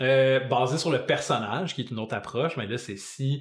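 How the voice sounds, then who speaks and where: This is a man with a Quebec accent. His voice sits at medium pitch. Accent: Québécois French. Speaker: podcast co-host, music teacher. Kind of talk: casual chat.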